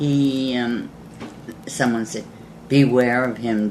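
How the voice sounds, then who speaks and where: Over noticeable background noise, a woman speaks very slowly in a very deep, low pitch. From England. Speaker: war bride. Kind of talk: interview answer.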